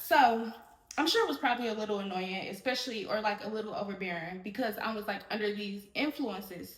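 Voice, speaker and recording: In a room with audible echo, a woman talks with lively intonation. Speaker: podcast host. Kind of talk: solo podcast monologue. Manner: loud, projected voice; animated, fast rambling.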